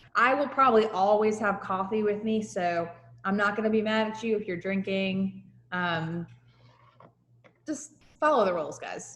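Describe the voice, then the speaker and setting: A woman with a slight New Jersey accent speaks in an animated tone at a moderate pace, with medium pitch and ordinary pitch variation. Long, frequent pauses break up her speech, and audible room echo is present. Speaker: high school teacher. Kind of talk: lecture. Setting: video call.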